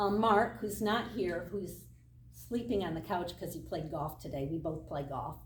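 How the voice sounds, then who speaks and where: Lively intonation and vocal fry with an American accent, plus audible room echo. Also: woman. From Michigan, US Midwest. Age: 60s. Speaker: triathlon club member. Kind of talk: casual talk.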